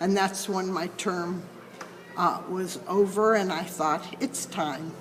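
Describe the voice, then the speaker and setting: A woman with an American accent at a very slow pace, amid noticeable background noise and audible room echo. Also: medium pitch for a woman, fairly even intonation. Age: 80s+. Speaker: mediator. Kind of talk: interview. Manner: halting.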